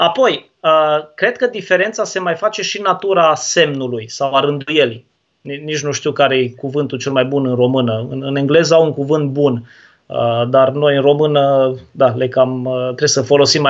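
At a fairly slow pace, a man uses a normal speaking voice with a fairly high pitch and ordinary pitch variation. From Romania, Turda (Transylvania). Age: 20s. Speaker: baptist pastor. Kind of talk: theological debate. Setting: livestream video call.

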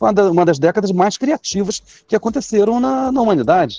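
A man's voice with very wide pitch swings, in a dry, close sound with no echo. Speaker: brewery owner and business professor. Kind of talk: interview.

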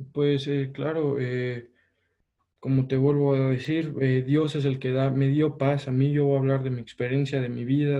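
Speaking at a fairly slow pace, the man has a medium pitch and a dark, mellow tone. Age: 20s. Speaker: engineering student. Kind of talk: casual interview.

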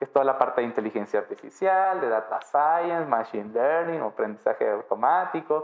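A man talks in an ordinary speaking voice, fairly high in pitch and with lively intonation. He moves at a fairly quick pace with hardly any pauses. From Mexico, Baja California Sur. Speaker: electronics engineer in IoT lab. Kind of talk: interview.

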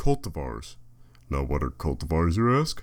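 On a very clean recording with a silent background, a man with a very deep, low pitch and vocal fry speaks at a fairly slow pace with very wide pitch swings. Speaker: podcaster. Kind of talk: casual solo monologue. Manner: rambling, hesitant with fillers.

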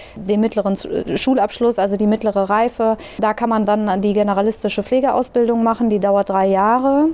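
A woman's fairly high voice at a moderate pace, with very even loudness, fairly even intonation and noticeable background noise. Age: 30s. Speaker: nursing manager. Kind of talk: interview.

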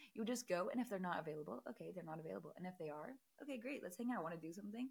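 The speaker talks at a very fast pace, with vocal fry. Pitch swings are very wide. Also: woman. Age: 20s. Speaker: podcast host. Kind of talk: casual chat. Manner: animated.

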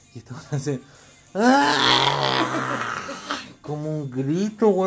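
The speaker has a Chilean accent. Music plays in the background. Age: 20s. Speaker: podcast host. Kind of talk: casual chat.

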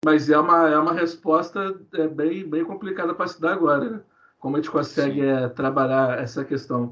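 Using an unremarkable speaking voice, a man keeps a moderate pace while his fairly high pitch varies in an ordinary way. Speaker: history researcher. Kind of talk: podcast interview.

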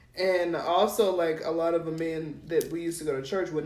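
Over noticeable background noise and audible room echo, a woman with a fairly low pitch speaks at a fairly quick pace. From New Mexico. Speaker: podcast co-host. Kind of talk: casual chat.

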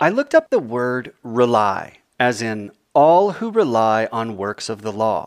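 A plain, everyday voice from a man, medium in pitch, with lively intonation, dry, close sound with no echo, and a very clean recording with a silent background. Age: 40s. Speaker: author reading his own book. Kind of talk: reading aloud.

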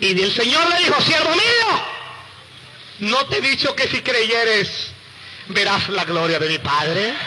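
Over noticeable background noise, the voice is raised and projected, very slow, with very wide pitch swings, very even loudness and long, frequent pauses. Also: man, extremely high pitch for a man. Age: 30s. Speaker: evangelical testimony speaker. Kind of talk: testimony. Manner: animated.

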